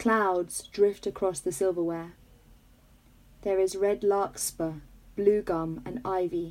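A woman with a British accent speaks at a medium pitch. Her pace is very slow, with long, frequent pauses. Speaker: podcast host. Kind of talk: casual chat. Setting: video call.

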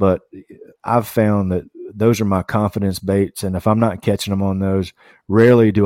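A man's fairly low voice in a Southern US accent, dry and close with no echo, on a very clean recording over a silent background. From US South, Tennessee and Kentucky. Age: 40s. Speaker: podcast co-host, kayak angler. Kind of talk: casual interview.

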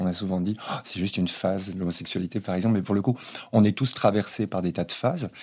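Against a silent background in a very clean recording, a man talks at a fairly quick pace. His voice is fairly low in pitch, with fairly even intonation. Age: 50s. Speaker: socio-anthropologist. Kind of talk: panel discussion. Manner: halting.

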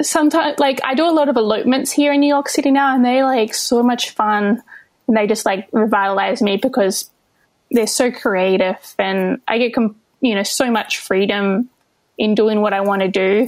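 Using an Australian accent, a woman speaks at a moderate pace with a high pitch, ordinary pitch variation and very even loudness. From Western Australia (Albany). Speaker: wedding photographer. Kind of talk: casual interview chat. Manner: hesitant, many fillers.

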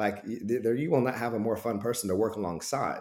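The man's voice is dark and mellow in tone, in an American accent. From Oklahoma. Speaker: performance coach and ministry background. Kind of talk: casual interview chat.

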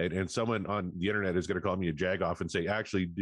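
Against a quiet background, a husky man with a very deep, low pitch rattles along at a very fast pace in a monotone, flat intonation. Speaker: podcast co-host.

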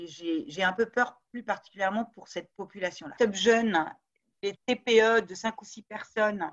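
The woman's pitch is fairly high, with ordinary variation. She talks at a very slow pace. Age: 50s. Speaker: business school law professor. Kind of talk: interview.

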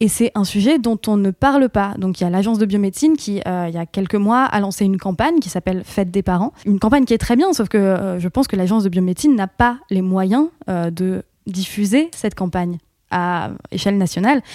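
A woman talks at a fairly quick pace at medium pitch, in a dark, mellow tone with ordinary pitch variation. The sound is dry and close with no echo, in a very clean recording with a silent background. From northern France, Picardy. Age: 30s. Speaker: podcaster. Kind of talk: casual chat.

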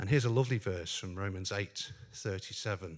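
A speaker with a Northern Irish accent talks at a moderate pace with ordinary pitch variation. The recording is very clean, with a silent background. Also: man. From Northern Ireland. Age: 50s. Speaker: lay preacher at a men's fellowship. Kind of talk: sermon; testimony.

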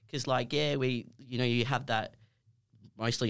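Over a silent background in a very clean recording, a man with an Australian accent talks at a fairly quick pace with ordinary pitch variation. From Perth, Western Australia. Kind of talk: casual chat.

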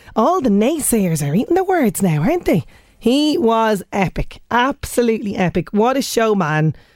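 With an Irish accent, the speaker uses very wide pitch swings at a moderate pace on a very clean recording with a silent background. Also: woman. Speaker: radio host. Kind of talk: radio show presenting. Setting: studio.

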